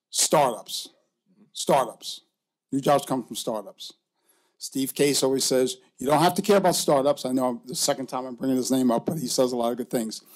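In a New York accent, a man talks with ordinary pitch variation. The background is quiet. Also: moderate pace. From New York City. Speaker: venture investor and entrepreneur; panelist. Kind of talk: panel discussion. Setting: stage with audience. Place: hall. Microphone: podium.

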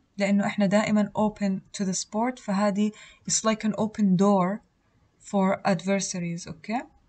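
Her voice at a medium pitch and somewhat breathy, a woman speaks at a moderate pace with fairly even intonation. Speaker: student tutor. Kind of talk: lecture.

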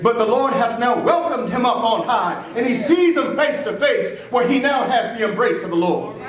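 Speaking at a moderate pace with an American accent, a man uses an extremely high pitch amid noticeable background noise and audible room echo. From US South. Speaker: pastor. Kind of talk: funeral eulogy preached from the pulpit, consoling the grieving family and congregation. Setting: church. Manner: rhythmic preacher's cadence building through repeated phrases toward an uplifting close; earnest and emotionally heavy, yet comforting. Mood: consoling, earnest. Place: church. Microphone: camera far.

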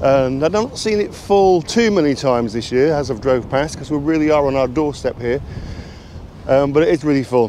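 A man at a fairly quick pace, dry sound with no echo and light background noise. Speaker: caravan vlogger. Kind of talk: casual vlog chat. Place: open country. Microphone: phone near.

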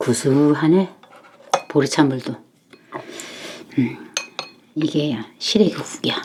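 Pitch moves in an ordinary way here. The speaker is a woman. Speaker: grandmother-style home cook and mukbang host. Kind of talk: casual talk to camera while cooking and eating. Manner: warm, homey, folksy.

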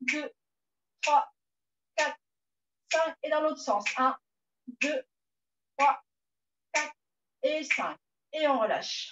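A woman's high-pitched voice at a very slow pace, with ordinary pitch variation, long, frequent pauses, and light background noise. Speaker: fitness instructor. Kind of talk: exercise class instruction. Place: home room. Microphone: camera far.

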